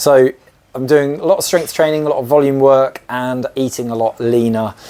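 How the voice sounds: A man talks at a moderate pace with a medium pitch. His tone is dark and mellow, and his pitch moves very little.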